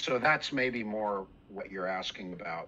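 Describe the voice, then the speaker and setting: A man's voice, bright and sharp in tone, sits at a medium pitch with fairly even intonation over light background noise. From Canada. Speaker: bass instructor. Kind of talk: interview. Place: home room. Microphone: video call.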